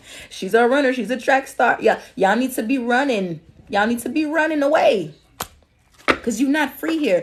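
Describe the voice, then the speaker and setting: A woman speaks in a high pitch at a moderate pace. Her intonation is lively. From Alabama. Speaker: spiritual reader. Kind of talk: livestream reading. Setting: TikTok live stream. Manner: casual, repetitive.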